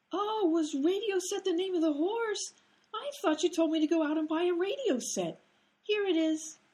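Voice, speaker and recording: A woman uses a squeaky, put-on character voice at an extremely high pitch. She keeps a moderate pace and ordinary pitch variation. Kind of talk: old-time radio comedy. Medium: audio drama. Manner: naive, literal-minded.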